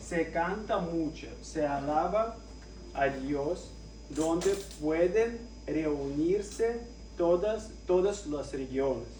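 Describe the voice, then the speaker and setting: In a Russian accent, a man talks at a very slow pace, with audible room echo and noticeable background noise. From Russia, Moscow. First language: Russian (speaking Spanish). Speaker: lay preacher. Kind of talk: sermon. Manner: halting.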